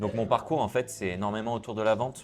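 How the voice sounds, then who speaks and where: A man talks with fairly even intonation. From southern France, Cannes. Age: 30s. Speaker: sales coach and entrepreneur. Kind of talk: interview. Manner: hesitant fillers.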